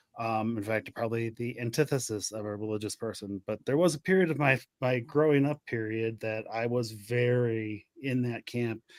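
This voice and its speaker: Delivered at a moderate pace with ordinary pitch variation, an ordinary speaking voice comes through dry and close with no echo. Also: man, medium pitch for a man. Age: 40s. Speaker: podcast host. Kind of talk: casual chat.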